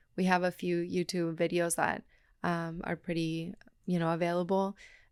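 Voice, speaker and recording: In a very clean recording with a silent background, a woman with a Spanish accent speaks at a moderate pace and fairly low pitch, her intonation monotone and flat. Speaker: cacao ceremony guide and brand co-founder. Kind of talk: casual interview conversation.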